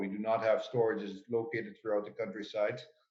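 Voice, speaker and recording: A man speaks with a Dutch accent. There is audible echo in the room. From Netherlands. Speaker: potato farmer. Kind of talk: conference panel talk. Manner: halting, many fillers.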